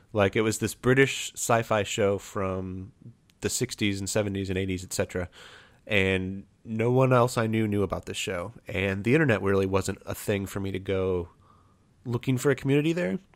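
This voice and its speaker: In a normal speaking voice, a man talks at a fairly low pitch and moderate pace with ordinary pitch variation, on a very clean recording with a silent background. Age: 30s. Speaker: pencil blogger and podcaster. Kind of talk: casual chat.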